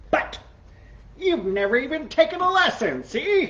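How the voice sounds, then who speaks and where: A put-on character voice, high-pitched with very wide pitch swings, at a moderate pace. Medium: read story. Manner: dry, ends sentences with "see?".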